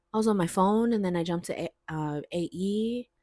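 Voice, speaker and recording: A woman with an American accent talks at a fairly slow pace with ordinary pitch variation, in a very clean recording with a silent background and a dry, close sound with no echo. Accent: sounds American. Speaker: vlogger. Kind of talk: casual chat. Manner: animated.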